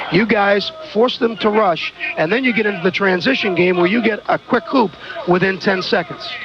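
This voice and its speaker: Over noticeable background noise, a man with a high pitch talks at a moderate pace, with ordinary pitch variation and very even loudness. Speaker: radio color commentator. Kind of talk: postgame radio interview.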